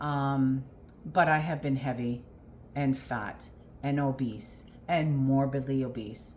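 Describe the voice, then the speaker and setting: With audible room echo, a woman speaks at a very slow pace in a very deep, low pitch and ordinary pitch variation. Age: 50s. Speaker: weight loss vlogger. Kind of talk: personal vlog. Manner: hesitant, many fillers.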